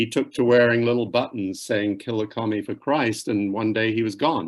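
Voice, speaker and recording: This man has a British accent and a medium pitch, talking at a moderate pace with fairly even intonation. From UK. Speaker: author. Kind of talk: author talk. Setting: library event, in person and via Zoom.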